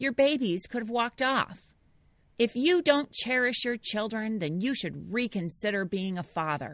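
A shrill, put-on character voice, female-sounding and fairly high-pitched, at a moderate pace on a very clean recording with a silent background. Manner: angry, accusing.

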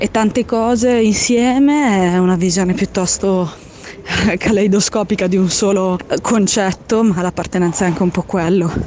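Noticeable background noise sits behind a woman with a medium pitch and ordinary pitch variation. She keeps a moderate pace and a very even loudness. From Apulia, southern Italy. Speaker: listener sending voice message. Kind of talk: voice memo. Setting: outdoors on the street.

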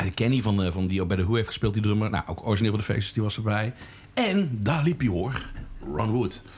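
Talking at a very fast pace, a man sounds somewhat breathy. His pitch is fairly low, with ordinary variation. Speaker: podcast host. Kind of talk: casual chat. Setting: pub.

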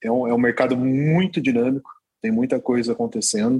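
A man speaks in a normal speaking voice at medium pitch. His pitch varies an ordinary amount, and his pace is fairly quick. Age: 30s. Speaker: crypto exchange executive. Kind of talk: interview.

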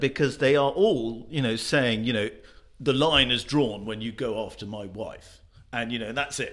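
At a moderate pace, a man with a British accent speaks at a medium pitch with ordinary pitch variation. His loudness swings widely. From Britain. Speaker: magazine journalist. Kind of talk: panel discussion.

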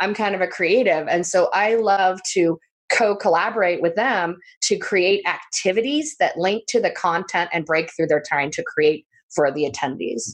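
A woman has an unremarkable speaking voice at a medium pitch. She talks at a moderate pace with lively intonation. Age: 50s. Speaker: travel business owner and event producer. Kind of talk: interview.

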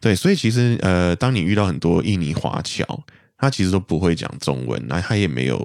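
A man with a Malaysian accent speaks at a moderate pace in a very deep, low voice, his pitch swinging very widely and dipping into vocal fry. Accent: Malaysian Mandarin. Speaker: guest from Malaysia. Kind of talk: casual chat.

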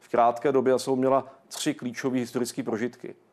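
Speaking fairly quickly, a man with an unremarkable speaking voice keeps a medium pitch and fairly even intonation. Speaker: director of a historical research institute. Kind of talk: TV interview. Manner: formal.

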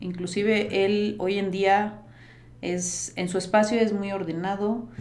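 In a room with audible echo, a woman talks very slowly at medium pitch. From Costa Rica. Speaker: organization and productivity coach. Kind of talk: interview conversation.

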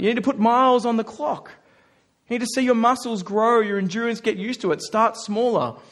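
A man talks at a fairly quick pace in an Australian accent. His pitch is extremely high, with fairly even intonation. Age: 30s. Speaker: pastor. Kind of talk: sermon. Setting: church.

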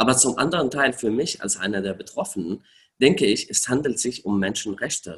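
Lively intonation carries speech that moves along at a moderate tempo. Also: man. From Syria. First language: Arabic (speaking German). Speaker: refugee rights activist. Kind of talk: interview. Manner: hesitant, many filler sounds.

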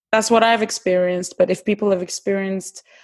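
A woman speaks at a medium pitch with a Turkish accent. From Turkey, Istanbul. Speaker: actress and TV presenter. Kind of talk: casual chat.

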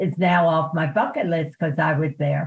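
A somewhat breathy, fairly low-pitched woman with an American accent and fairly even intonation. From Baltimore, US. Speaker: retired PR consultant. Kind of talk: interview.

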